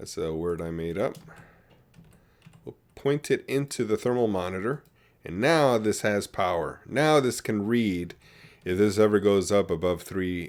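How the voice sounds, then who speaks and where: Using a normal speaking voice, a man with a fairly low pitch and lively intonation talks at a fairly slow pace on a very clean recording with a silent background. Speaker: gaming video creator. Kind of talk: gameplay tutorial commentary. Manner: casual with fillers and self-corrections.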